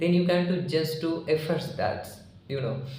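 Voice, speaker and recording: Against noticeable background noise and audible room echo, a man speaks with fairly even intonation. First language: Marathi. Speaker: English learning YouTuber. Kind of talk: informal tutorial talk. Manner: halting, with many fillers.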